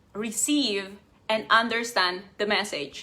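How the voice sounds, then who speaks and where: Speaking at a very slow pace, a woman with a non-native accent has a fairly high pitch and a bright, sharp tone. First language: not English. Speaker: life coach. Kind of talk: live stream talk.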